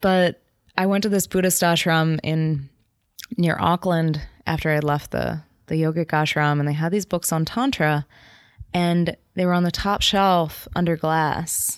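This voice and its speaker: A woman's ordinary speaking voice with an American accent, fairly low and fairly slow, with fairly even intonation and very even loudness, in a very clean recording with a silent background. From New Jersey, US. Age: 30s. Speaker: meditation and yoga nidra teacher. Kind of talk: casual chat.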